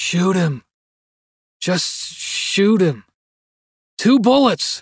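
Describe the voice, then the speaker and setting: In a put-on character voice, the speaker talks at a very slow pace with a raspy sound at a middle pitch. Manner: agitated, distant.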